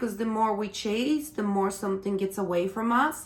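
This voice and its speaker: A woman speaks in a fairly high pitch. She has a non-native accent. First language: not English. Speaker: tarot reader. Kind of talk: tarot reading monologue. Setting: on camera. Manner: halting.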